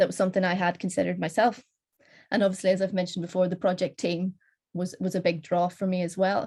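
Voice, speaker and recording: This woman has a Northern Irish accent and a medium pitch. Her voice is somewhat breathy, with fairly even intonation. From Northern Ireland. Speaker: postdoctoral researcher. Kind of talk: conference panel talk.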